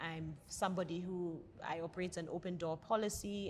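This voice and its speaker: This is a woman's voice. Its pitch is fairly low. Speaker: organization director. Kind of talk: panel discussion. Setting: restaurant. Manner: loud.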